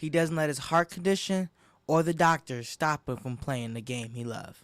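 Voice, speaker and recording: The speaker is a man with an unremarkable speaking voice and a fairly high pitch. His pitch variation is ordinary, and the sound is dry and close with no echo. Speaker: sports reporter / anchor. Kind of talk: sports news broadcast demo reel.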